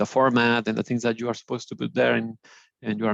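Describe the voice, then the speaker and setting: A man with a Spanish accent talks in a medium-pitched, flat monotone, recorded dry and close with no echo. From Mexico. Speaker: alumnus, engineer. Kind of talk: webinar panel discussion. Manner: halting, many fillers.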